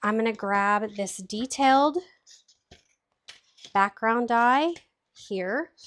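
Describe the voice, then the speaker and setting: A woman speaks at a very slow pace, leaving long, frequent pauses. Her pitch is fairly high, with ordinary variation. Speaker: card-making demonstrator. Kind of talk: live craft tutorial. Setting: livestream.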